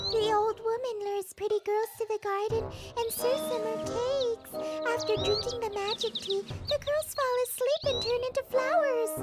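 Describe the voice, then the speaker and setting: A cartoonish character voice at an extremely high pitch speaks at a moderate pace with clear music in the background. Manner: soft, persuasive.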